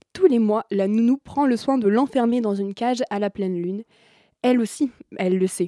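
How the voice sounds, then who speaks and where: The speaker has a dark, mellow tone and a fairly quick pace. The recording is very clean, with a silent background. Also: woman, dry, close sound with no echo. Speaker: film columnist. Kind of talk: radio discussion. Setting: studio.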